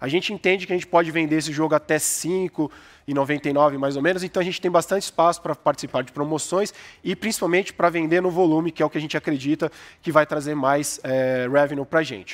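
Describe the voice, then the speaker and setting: A man speaks at a fairly quick pace in a fairly high pitch. It is an unremarkable speaking voice with ordinary pitch variation. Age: 30s. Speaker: game studio founder. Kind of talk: startup pitch. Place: stage. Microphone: headset.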